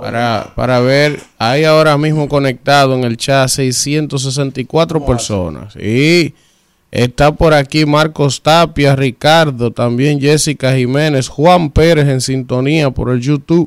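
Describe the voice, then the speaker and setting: On a very clean recording with a silent background, a man with a Dominican accent speaks at a very slow pace with fairly even intonation. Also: fairly high pitch for a man. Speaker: radio host. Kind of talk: casual chat. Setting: studio.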